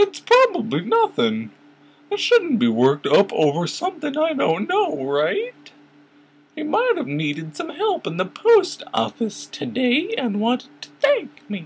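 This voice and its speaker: A put-on character voice sits at a fairly high pitch. The pace is moderate. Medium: read story. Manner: bright, eager.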